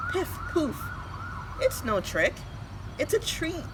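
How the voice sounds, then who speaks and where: Cackling in a put-on character voice with an extremely high pitch, a woman speaks at a fairly slow pace over loud background noise. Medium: read story.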